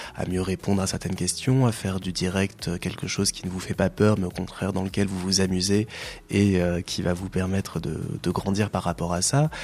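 Talking in a normal speaking voice, a man keeps a moderate pace and a fairly low pitch. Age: 30s. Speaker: radio presenter and volunteer coordinator. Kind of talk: radio interview.

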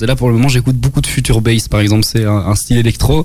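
Against noticeable background noise, a man speaks very fast at medium pitch, with ordinary pitch variation. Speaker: pop rock band member. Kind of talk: radio interview. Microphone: echo/delay on voice.

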